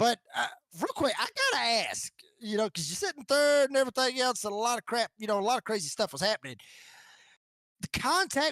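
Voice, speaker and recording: With a Georgia accent, a man talks at a fairly quick pace and an extremely high pitch. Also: dry, close sound with no echo. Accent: Georgia Southern. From US South, northwest Georgia (Rome). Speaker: sim racing broadcaster, post-race interviewer. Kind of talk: post-race interviews. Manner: casual, halting.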